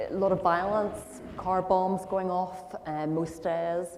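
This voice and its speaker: A woman speaks slowly, fairly so, in a fairly low voice with a Northern Irish accent. Background noise is noticeable. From Northern Ireland, Belfast. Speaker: guest speaker sharing life story. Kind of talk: testimony interview.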